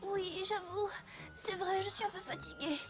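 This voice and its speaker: A female-sounding put-on character voice pitched extremely high rings out over clear music in the background. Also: moderate pace. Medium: fan dub.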